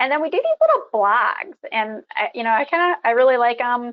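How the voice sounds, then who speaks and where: A woman talks in a normal speaking voice at a fairly quick pace. Her pitch varies in an ordinary way. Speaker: insurance company presenter. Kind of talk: webinar presentation.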